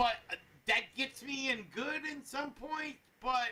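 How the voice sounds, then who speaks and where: Loudly and at a fairly slow pace, a man speaks. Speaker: anime review show co-host. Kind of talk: casual discussion.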